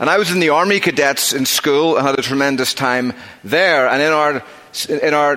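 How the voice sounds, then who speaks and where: Noticeable background noise sits behind a man's voice. His pitch is fairly high with ordinary variation, and his pace is moderate. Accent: Northern Irish. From Northern Ireland. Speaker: preacher. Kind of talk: sermon. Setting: church.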